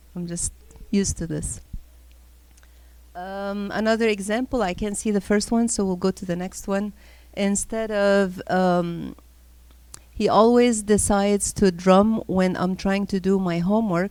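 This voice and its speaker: A woman's medium-pitched voice stays monotone and flat, moving at a fairly slow pace with long, frequent pauses, on a very clean recording with a silent background. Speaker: high school teacher giving a parenting talk. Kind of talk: parenting talk to a church group. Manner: conversational, with filler sounds.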